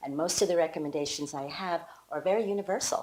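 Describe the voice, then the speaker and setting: Noticeable background noise fills the recording. A woman speaks fairly quickly over it. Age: 60s. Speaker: women's health coach. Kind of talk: promotional talk to camera. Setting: home kitchen. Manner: enthusiastic.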